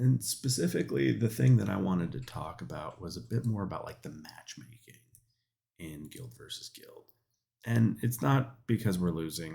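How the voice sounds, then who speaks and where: A man's dark, mellow tone with vocal fry, moderate pace, very wide pitch swings and big swings in loudness. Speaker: gaming youtuber. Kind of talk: casual commentary. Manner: hesitant with fillers.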